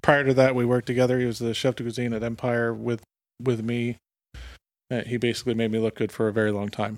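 In a very clean recording with a silent background, a man speaks at a very fast pace with an American accent. His pitch is medium and his intonation stays monotone and flat. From central Pennsylvania. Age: 30s. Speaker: executive chef. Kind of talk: casual chat.

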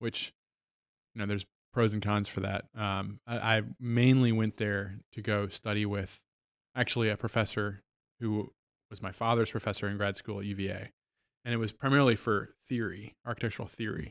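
A man with an American accent speaks at a moderate pace and a fairly low pitch, his intonation monotone and flat. The recording is very clean with a silent background and a dry, close sound with no echo. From Virginia. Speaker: motorcycle company co-founder. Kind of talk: interview.

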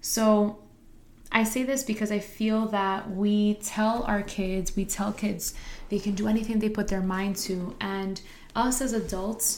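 A woman speaks with an American accent at a medium pitch. Her pace is fairly slow and her intonation fairly even. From New Jersey, Harrison. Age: 20s. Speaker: podcast host and high school teacher. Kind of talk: motivational monologue.

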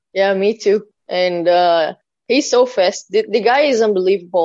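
A woman with a Portuguese accent speaks at a medium pitch and moderate pace, with ordinary pitch variation. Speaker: death metal drummer. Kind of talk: interview.

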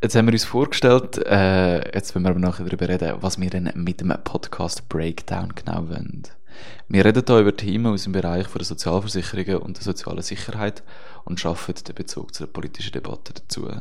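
A man with a very deep, low voice speaks at a fairly quick pace with fairly even intonation, with audible room echo and noticeable background noise. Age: 20s. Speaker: podcast co-host, student radio journalist. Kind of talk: scripted podcast introduction.

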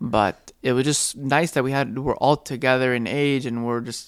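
In a normal speaking voice, a man talks at a fairly quick pace with medium pitch and fairly even intonation on a very clean recording with a silent background. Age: 20s. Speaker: podcast co-host, father. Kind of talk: casual chat.

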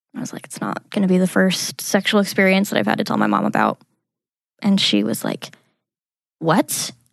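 A woman talks at a fairly quick pace yet with long, frequent pauses, the sound dry and close with no echo. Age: 20s. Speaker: abuse survivor sharing her story. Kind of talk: testimony. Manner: hesitant, many fillers.

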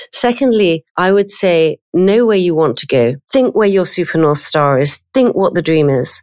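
With a southern English accent, a woman speaks at a moderate pace in a dry, close sound with no echo. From London, England. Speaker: payments executive. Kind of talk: interview.

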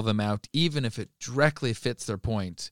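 A man's medium-pitched, normal speaking voice with lively intonation, moving at a moderate pace, in a very clean recording with a silent background and a dry, close sound with no echo. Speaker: youth pastor and podcast co-host. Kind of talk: casual chat.

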